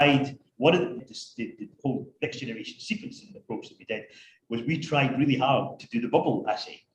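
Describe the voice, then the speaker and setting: A somewhat breathy man's voice, fairly high in pitch, with ordinary pitch variation and big swings in loudness. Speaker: professor and research scientist. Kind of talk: academic Q&A. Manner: halting, repeats words.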